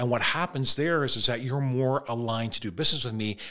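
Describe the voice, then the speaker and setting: With a Canadian accent, the voice is bright and sharp and moves at a fairly quick pace. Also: man, very clean recording, silent background. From Toronto, Canada. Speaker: mortgage broker. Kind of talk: podcast interview.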